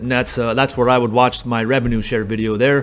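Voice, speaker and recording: Very fast speech amid noticeable background noise. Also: man. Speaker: real estate agent and recruiter. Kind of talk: tutorial. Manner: casual, many fillers.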